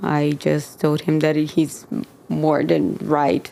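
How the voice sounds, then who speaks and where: This is a woman speaking. She has a Brazilian accent. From Brazil, São Paulo. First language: Portuguese. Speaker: church member sharing faith story. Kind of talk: podcast interview, testimony. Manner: hesitant, many fillers.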